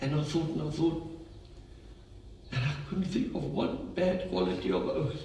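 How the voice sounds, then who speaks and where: A man with a South African accent talks at a moderate pace. Audible room echo and noticeable background noise surround his voice. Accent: Afrikaans South African. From South Africa, Free State. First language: Afrikaans. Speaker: friend of the deceased. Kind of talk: eulogy. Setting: funeral service.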